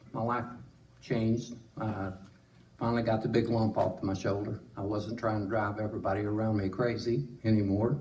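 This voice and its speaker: A man with a fairly low pitch speaks at a moderate pace and fairly even intonation. Noticeable background noise and audible room echo surround him. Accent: Southern US. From Tennessee. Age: 70s. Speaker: church member. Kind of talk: testimony. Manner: halting.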